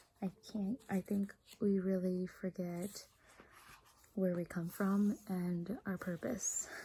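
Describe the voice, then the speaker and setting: A very slow pace broken by long, frequent pauses. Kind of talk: casual monologue.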